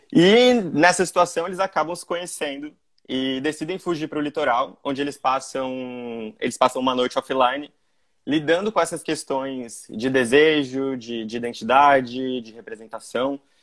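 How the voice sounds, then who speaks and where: A man speaks at a moderate pace in a normal speaking voice, his pitch fairly high. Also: ordinary pitch variation. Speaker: short film director. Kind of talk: casual online interview. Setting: video call.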